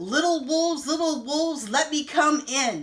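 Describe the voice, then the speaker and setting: A woman's high-pitched, put-on character voice. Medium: read story. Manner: gruff, threatening.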